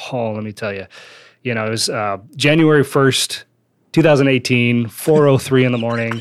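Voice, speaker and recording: A man speaks in a normal speaking voice with an American accent. His pitch varies in an ordinary way, and his loudness swings widely. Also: medium pitch for a man, moderate pace. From Wisconsin. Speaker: business owner and author. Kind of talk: interview. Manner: casual.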